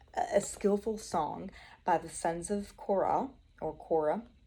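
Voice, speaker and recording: A woman with an American accent speaks at a fairly slow pace in a dark, mellow tone. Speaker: Bible study vlogger. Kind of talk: Bible study talk. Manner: casual, chatty.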